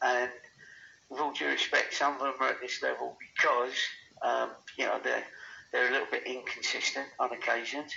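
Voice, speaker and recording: A man with an English accent at a fairly quick pace, with long, frequent pauses. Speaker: football manager. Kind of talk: interview. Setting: phone call.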